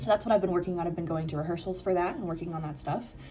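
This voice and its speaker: Audible room echo surrounds a woman with an American accent, who speaks at a fairly low pitch with ordinary pitch variation. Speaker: exchange student vlogger. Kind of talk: casual vlog. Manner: casual, many fillers.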